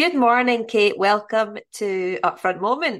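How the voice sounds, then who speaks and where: A woman's plain, everyday voice, fairly high in pitch, with lively intonation at a moderate pace against a quiet background. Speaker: podcast host. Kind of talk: casual interview conversation.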